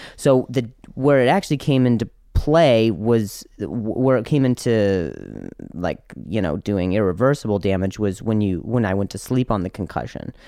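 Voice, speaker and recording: A man with an American accent speaks at a moderate pace and a fairly low pitch, his tone dark and mellow and his pitch varying in an ordinary way. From US Midwest (Indiana), teens in Las Vegas. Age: 20s. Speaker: comedian. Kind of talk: casual chat. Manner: halting, repeats words.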